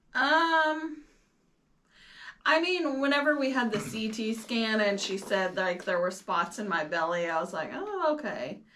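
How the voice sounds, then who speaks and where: A woman speaks fairly slowly in a bright, sharp tone with very wide pitch swings, and room echo is audible. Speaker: cancer patient sharing scan results. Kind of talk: casual chat.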